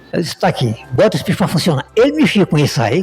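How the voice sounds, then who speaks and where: A man speaks at a high pitch with very wide pitch swings while music plays in the background. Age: 60s. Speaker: businessman and radio owner. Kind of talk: podcast interview conversation. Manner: repetitive, halting.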